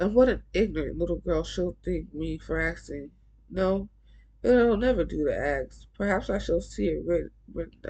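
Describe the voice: Plain reading aloud is carried by lively intonation.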